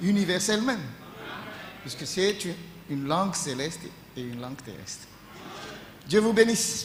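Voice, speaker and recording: A man speaks with lively intonation. Noticeable background noise and audible room echo surround his voice. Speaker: pastor. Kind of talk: sermon. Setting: church. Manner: halting.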